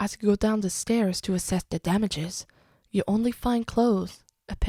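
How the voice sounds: The voice is a natural reading voice, heard over a quiet background.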